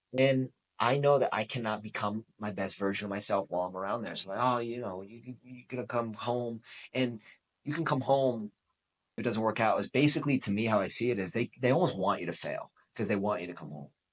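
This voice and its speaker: With an animated tone and a Boston accent, a man of medium pitch talks at a fairly quick pace. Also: ordinary pitch variation. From New England (Boston). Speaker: podcast host. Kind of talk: motivational podcast monologue.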